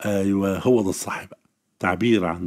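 This is a very clean recording with a silent background. A man is speaking. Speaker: Arabic literature teacher. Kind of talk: exam-prep lesson.

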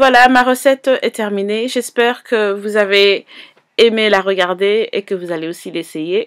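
Recorded very cleanly against a silent background, the sound is dry and close with no echo as a woman of medium pitch speaks fairly slowly with ordinary pitch variation. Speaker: cooking youtuber. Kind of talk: cooking tutorial.

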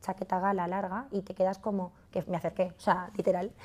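A woman speaks in a dark, mellow tone. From Madrid, Spain; Spain. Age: 30s. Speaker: fashion entrepreneur; masterclass teacher. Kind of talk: masterclass talk. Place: studio.

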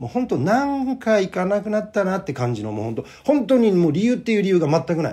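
A man speaks in a high pitch at a very fast pace. His pitch swings very widely. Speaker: playwright and actor. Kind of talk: monologue video. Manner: casual.

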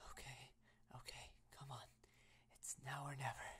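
The speaker is whispering in a nervous tone. The pace is moderate. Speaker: voice actor for romantic character. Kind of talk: role-play monologue. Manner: soft nervous self-talk, psyching up.

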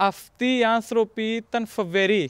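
At an extremely high pitch, a man speaks at a very slow pace. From Pakistan. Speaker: interpreter and student. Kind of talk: documentary interview. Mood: calm, grateful, reflective. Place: open country.

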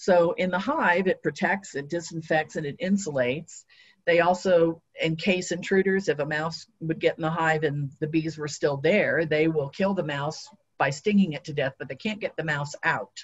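A woman's fairly low, somewhat breathy voice with an American accent, at a moderate pace with ordinary pitch variation, over a quiet background. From Ohio. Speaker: beekeeper and retired teacher; retired teacher. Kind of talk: lecture. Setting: video call. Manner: uses many filler words.

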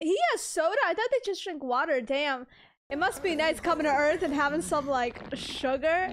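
Over light background noise, a woman talks at a moderate pace with a high pitch and ordinary pitch variation. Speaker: reaction video creator. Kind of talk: casual reaction commentary. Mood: amused, playful. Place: home room. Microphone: studio mic.

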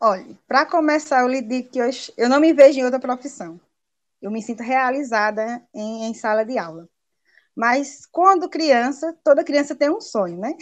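Lively intonation and a moderate pace mark this speech, set against a quiet background. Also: woman, high pitch for a woman. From Paraíba, Brazil (Princesa Isabel, rural); Paraíba, Brazil. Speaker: primary school teacher. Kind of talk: interview. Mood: warm, passionate, smiling. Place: home room. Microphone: video call.

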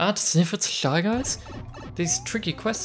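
A natural voice reading aloud, its pitch rising and falling in an ordinary way

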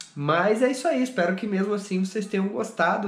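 The man's delivery is moderately paced. His voice echoes audibly off the room. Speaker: running vlogger. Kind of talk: casual vlog chat. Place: home room. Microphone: phone near.

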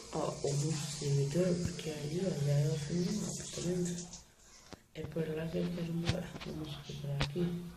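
This man's voice is quiet and fairly high in pitch, with a monotone, flat intonation. He talks at a moderate pace, and audible room echo surrounds him. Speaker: gaming youtuber. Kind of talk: gameplay commentary. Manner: speaking quietly; casual, chatty.

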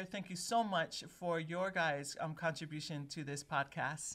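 A woman speaks in a Hawaiian accent at a fairly low pitch. Her pitch varies in an ordinary way. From Hawaii, Oahu (Palolo). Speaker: podcast co-host. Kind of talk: casual chat. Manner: animated. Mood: warm, laughing. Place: studio. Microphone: studio mic.

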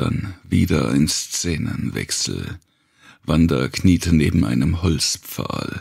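A man's voice carries lively intonation, vocal fry and a slightly husky edge.

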